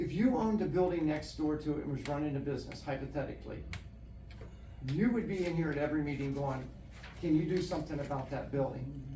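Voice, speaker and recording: Over noticeable background noise and audible room echo, a man talks at a very fast pace. His voice sits fairly high. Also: ordinary pitch variation. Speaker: township trustee. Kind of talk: heated debate. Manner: sharp, firm.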